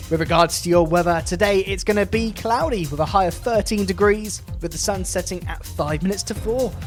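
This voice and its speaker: A man speaks in an upbeat tone at a fairly quick pace. Music plays in the background. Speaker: radio presenter. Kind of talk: local radio DJ links. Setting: studio.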